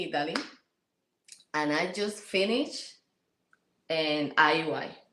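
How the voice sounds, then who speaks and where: A woman with a Puerto Rican accent at a fairly slow pace, lively intonation and audible room echo. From Puerto Rico. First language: Spanish. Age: 30s. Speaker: interview guest, military spouse and mother. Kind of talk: casual interview. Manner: halting, many repetitions.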